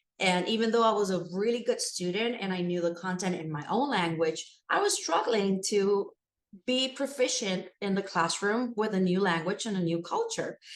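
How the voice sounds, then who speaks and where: This woman has a Spanish accent. She talks at a moderate pace. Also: medium pitch for a woman, ordinary pitch variation. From Puerto Rico. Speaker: school administrator and educator. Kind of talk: interview.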